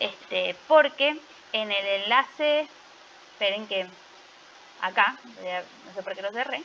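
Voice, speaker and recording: Speaking very slowly in a fairly high voice, a woman leaves long, frequent pauses. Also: lively intonation. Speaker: teacher. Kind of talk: online class lecture.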